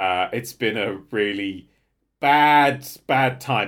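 Recorded very cleanly against a silent background, a man speaks with vocal fry. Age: 30s. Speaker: podcast co-host. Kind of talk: casual chat.

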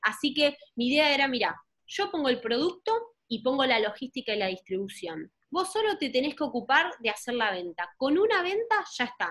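The woman's voice sits high and makes very wide pitch swings. She keeps a moderate pace. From Argentina. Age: 20s. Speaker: entrepreneur. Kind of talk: interview.

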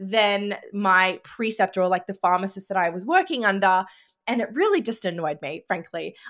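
The very clean recording, with a silent background, captures a woman at a medium pitch with a bright, sharp tone and ordinary pitch variation. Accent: Australian. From Australia. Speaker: podcast host and business coach. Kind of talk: casual monologue.

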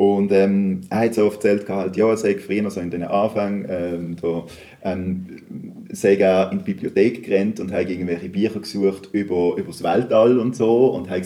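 A man's fairly low voice at a moderate pace, with hardly any pauses and fairly even intonation. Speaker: podcast host. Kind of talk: casual interview. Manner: halting, many fillers.

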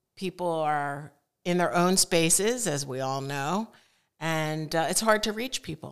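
A plain, everyday voice with lively intonation at a fairly slow pace, in a very clean recording with a silent background. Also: woman, fairly low pitch for a woman. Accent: American. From Connecticut. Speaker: photographer. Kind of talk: casual chat.

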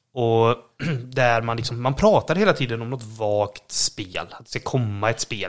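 At a moderate pace, a man with a medium pitch speaks in a plain, everyday voice. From western Sweden, Borås. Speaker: podcast co-host. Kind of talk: casual chat. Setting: at home.

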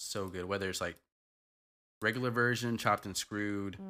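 A man with a fairly low pitch speaks in a monotone, flat intonation, his tone bright and sharp. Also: very clean recording, silent background. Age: 30s. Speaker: podcast host. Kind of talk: casual chat.

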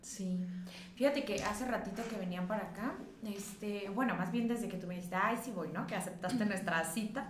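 Amid audible room echo and noticeable background noise, a woman at medium pitch speaks at a fairly quick pace with ordinary pitch variation. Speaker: podcast host, psychologist and sex educator. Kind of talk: casual chat.

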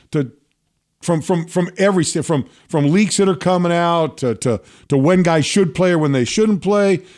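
Very even in loudness, a man with a high pitch and ordinary pitch variation speaks at a moderate pace in a very clean recording with a silent background. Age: 60s. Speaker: sports podcast host and former pro football player. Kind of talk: casual sports talk. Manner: halting, many repeated words.

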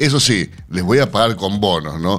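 A man speaks at a moderate pace with lively intonation over noticeable background noise. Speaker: radio host. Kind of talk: radio news show. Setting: radio studio.

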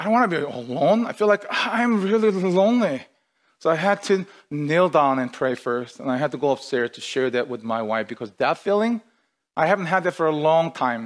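At a fairly quick pace, a man with a fairly high pitch speaks with very wide pitch swings. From outside North America, moved to Canada. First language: not English. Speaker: pastor. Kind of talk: sermon. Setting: online livestreamed service.

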